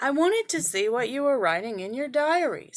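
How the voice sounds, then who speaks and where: A woman's put-on character voice, high-pitched, at a fairly quick pace with very wide pitch swings. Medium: read story. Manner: polite.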